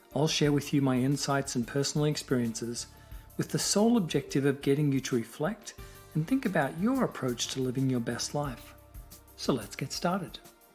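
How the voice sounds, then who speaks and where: A man speaks at a fairly quick pace in a fairly high pitch with lively intonation, with music playing in the background. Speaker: podcast host. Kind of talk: podcast host talk.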